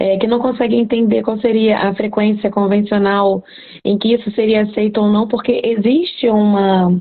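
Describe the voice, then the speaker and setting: At a moderate pace and very even loudness, a woman with a fairly high pitch speaks in a flat monotone. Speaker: cat veterinarian. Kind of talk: live stream talk, educational. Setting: live stream.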